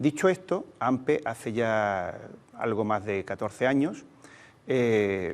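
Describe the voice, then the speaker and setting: With an Andalusian accent, a man speaks at a fairly low pitch. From Andalusia, Cádiz province (Sanlúcar de Barrameda). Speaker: teachers' union leader. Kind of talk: interview. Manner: hesitant, many fillers.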